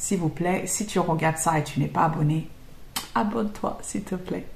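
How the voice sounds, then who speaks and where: The speech keeps a moderate pace with ordinary pitch variation. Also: woman. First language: not French (speaking French). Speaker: YouTuber and English trainer. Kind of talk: casual Q&A monologue. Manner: hesitant, many fillers.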